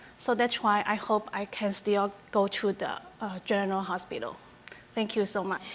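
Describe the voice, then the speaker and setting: The intonation is monotone and flat at a moderate pace. Noticeable background noise runs under the voice. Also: woman, medium pitch for a woman. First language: Chinese. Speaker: community member giving a delegation. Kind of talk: public delegation speech. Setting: public hearing at civic centre. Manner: halting.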